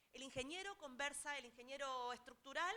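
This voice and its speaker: A woman with a high-pitched, raised and projected voice speaks at a moderate pace with lively intonation. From Argentina. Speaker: technology transfer specialist. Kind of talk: seminar talk. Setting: auditorium with audience.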